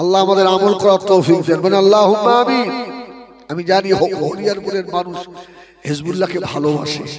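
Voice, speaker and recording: Audible room echo and noticeable background noise surround a man's voice. He speaks with a high pitch and fairly even intonation. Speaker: Islamic preacher. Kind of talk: sermon. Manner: emotional, declamatory.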